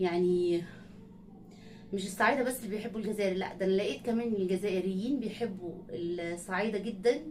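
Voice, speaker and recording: Amid noticeable background noise and audible room echo, a woman speaks at a medium pitch and moderate pace with ordinary pitch variation. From Egypt, not raised in Sohag. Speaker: reaction video creator. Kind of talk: casual talk to viewers. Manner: halting.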